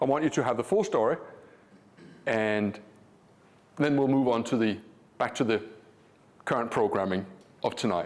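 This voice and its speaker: At a moderate pace, a man with a Danish accent keeps very even loudness while leaving long, frequent pauses. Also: medium pitch for a man, ordinary pitch variation. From Denmark. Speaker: trading educator. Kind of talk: live seminar presentation. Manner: animated.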